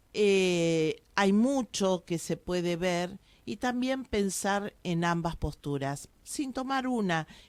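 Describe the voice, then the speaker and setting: A woman speaks at a medium pitch, very slowly and with hardly any pauses, her intonation lively. The recording is very clean, with a silent background. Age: 60s. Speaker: local historian. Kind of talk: radio interview.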